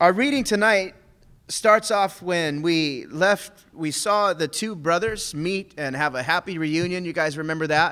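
Against a quiet background, a man speaks at a fairly slow pace. His tone is bright and sharp, with ordinary pitch variation. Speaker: preacher teaching a men's group. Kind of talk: sermon. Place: church. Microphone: podium.

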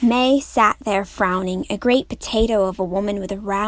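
Reading aloud in a natural voice, the speaker lets the pitch vary in an ordinary way.

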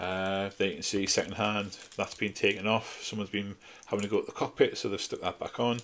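A man talks with a Geordie accent. His pace is fairly quick. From northeast England, Newcastle. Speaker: scale model hobbyist YouTuber. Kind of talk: casual video review. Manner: hesitant, many fillers. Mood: nostalgic, relaxed. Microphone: phone near.

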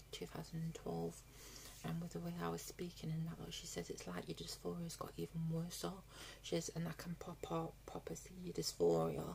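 Light background noise sits under a woman talking at a moderate pace. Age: 20s. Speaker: vlogger. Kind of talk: casual vlog update; casual vlog chat. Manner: halting, many fillers. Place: home room. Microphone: phone near.

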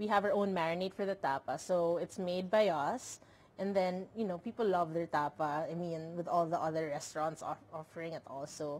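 A woman with a fairly low voice talks at a moderate pace with hardly any pauses and ordinary pitch variation. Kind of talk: interview answer. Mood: friendly, smiling. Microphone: handheld.

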